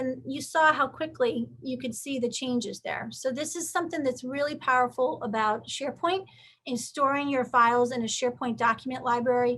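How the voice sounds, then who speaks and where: Against a quiet background, a woman projects a raised, bright, sharp voice at high pitch, with ordinary pitch variation and a moderate pace. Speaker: IT consultant presenting a webinar. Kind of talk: webinar tutorial with live demo. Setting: online webinar.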